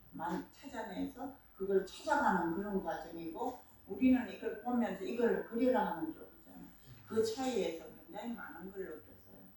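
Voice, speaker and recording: A woman's normal speaking voice at a fairly high pitch and a moderate pace. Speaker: visual artist. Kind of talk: artist talk interview.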